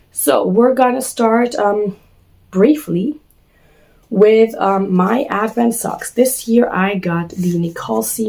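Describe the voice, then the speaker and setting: Speaking at a very slow pace, a woman with a medium pitch uses ordinary pitch variation against noticeable background noise. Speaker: knitting vlogger. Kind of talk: casual vlog talk. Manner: hesitant, many fillers.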